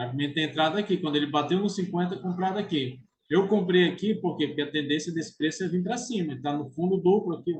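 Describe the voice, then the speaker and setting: Words tumble out at a very fast pace with hardly any pauses and ordinary pitch variation. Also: man, high pitch for a man. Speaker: trading educator. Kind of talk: tutorial. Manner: casual.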